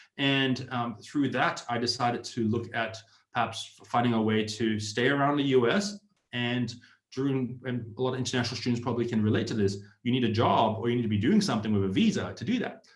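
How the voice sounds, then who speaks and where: Audible room echo surrounds a man speaking with an Australian accent. His medium-pitched voice moves at a fairly quick pace with ordinary pitch variation. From Australia, Sydney. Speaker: startup community founder, ex-tech employee. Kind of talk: online presentation. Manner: hesitant, with fillers.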